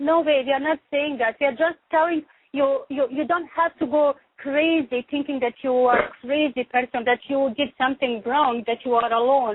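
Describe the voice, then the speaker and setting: With a non-native accent, a woman speaks at a high pitch and moderate pace. Her intonation is fairly even and her loudness very even. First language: not English. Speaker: radio show host. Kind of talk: talk radio chat.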